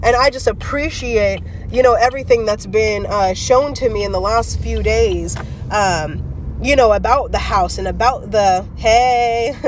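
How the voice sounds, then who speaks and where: The speaker uses an animated tone at a fairly slow pace, with noticeable background noise. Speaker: faith and self-help vlogger. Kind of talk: live-streamed motivational talk.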